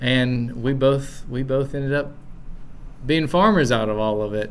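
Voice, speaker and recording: With audible room echo, a man with an Appalachian accent speaks fairly slowly at medium pitch. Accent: Southern US (Appalachian). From East Tennessee. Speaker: farmer and seed saver. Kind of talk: casual interview. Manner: halting, with many fillers and repeats.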